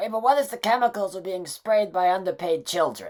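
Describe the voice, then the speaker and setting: In a cartoonish character voice, a female-sounding speaker talks at a fairly quick pace with medium pitch for a woman. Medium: puppet. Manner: excitable.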